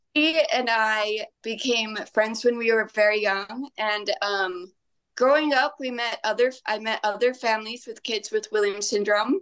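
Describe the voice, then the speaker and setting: A woman speaks with a fairly high pitch and ordinary pitch variation. It is a plain, everyday voice. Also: fairly slow pace. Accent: American. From Utah. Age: 30s. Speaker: dance teacher. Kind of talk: podcast interview.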